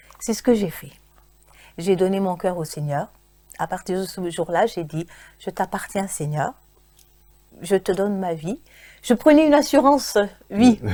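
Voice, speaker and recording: A woman with a medium-pitched, dark and mellow voice speaks with lively intonation and long, frequent pauses. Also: fairly slow pace, big swings in loudness. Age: 60s. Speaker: church member giving testimony. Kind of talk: testimony. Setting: church studio broadcast. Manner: halting, many repetitions.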